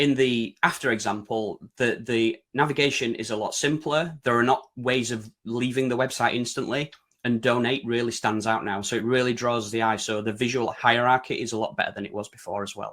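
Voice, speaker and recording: With a British accent, a man speaks at medium pitch and a fairly quick pace. His intonation is fairly even, and he leaves hardly any pauses. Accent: broad UK. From Yorkshire, northern England. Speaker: website design consultant presenting. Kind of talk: webinar presentation. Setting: online webinar.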